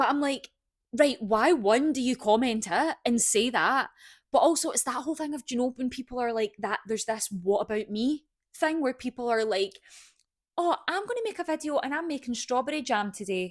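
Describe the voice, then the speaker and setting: In a dry, close sound with no echo, a woman talks at a fairly quick pace with a high pitch and lively intonation. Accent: Scottish. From Scotland. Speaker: podcast co-host. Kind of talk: casual chat. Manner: fast.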